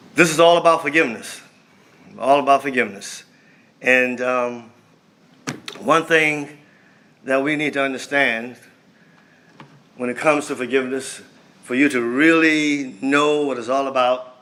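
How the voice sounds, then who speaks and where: Speaking at a moderate pace with fairly even intonation, this voice leaves long, frequent pauses, and audible room echo surrounds it. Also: man, fairly high pitch for a man. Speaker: speaker at a men's fellowship event. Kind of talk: sermon.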